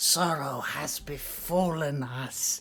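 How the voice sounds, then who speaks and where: In a put-on character voice pitched low-to-middle, the speaker delivers the words at a very slow pace. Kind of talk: archaic, pompous. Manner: solemn, slow, theatrical.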